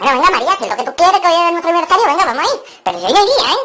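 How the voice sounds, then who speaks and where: This is a cartoonish character voice at an extremely high pitch. It moves at a very fast pace. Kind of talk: joke telling, comedy monologue. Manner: lively, crude, humorous.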